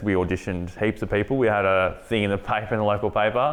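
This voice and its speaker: With an Australian accent, the speaker talks at a very fast pace with ordinary pitch variation over a quiet background. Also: man. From Australia, country Victoria. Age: 30s. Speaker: filmmaker. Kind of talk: interview. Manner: halting.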